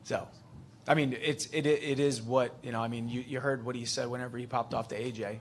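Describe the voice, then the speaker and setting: A man with an American accent speaks in a normal speaking voice at medium pitch. His pace is fairly quick and his intonation fairly even. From United States. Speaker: MMA fighter. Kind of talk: press conference. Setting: press conference.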